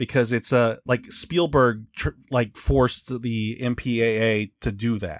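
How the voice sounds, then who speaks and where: A man speaks at a fairly slow pace with hardly any pauses. His intonation stays fairly even. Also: medium pitch for a man. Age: 40s. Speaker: podcast host. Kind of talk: casual chat. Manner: halting.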